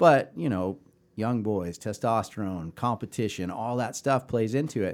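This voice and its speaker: Recorded very cleanly against a silent background, a man with a plain, everyday voice and an American accent talks fairly quickly at medium pitch with ordinary pitch variation. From Chicago, US Midwest. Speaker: youth cycling race director. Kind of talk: casual interview chat.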